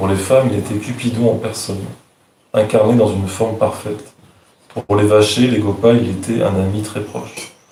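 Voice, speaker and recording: In audible room echo, the voice holds a monotone, flat intonation. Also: man. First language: French. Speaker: devotee reading verses. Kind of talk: reading aloud.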